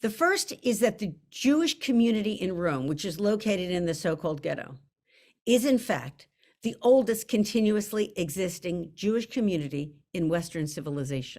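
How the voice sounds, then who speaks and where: Loud and animated, a woman speaks at a moderate pace with very wide pitch swings on a very clean recording with a silent background. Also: medium pitch for a woman. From US, Italian-American. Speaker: novelist. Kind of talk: author interview.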